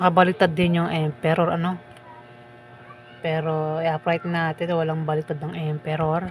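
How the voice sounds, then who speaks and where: This woman's pitch is fairly low. Her intonation is monotone and flat. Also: moderate pace. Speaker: tarot reader. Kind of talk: tarot reading. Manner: casual, conversational. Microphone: mic far from mouth, no echo.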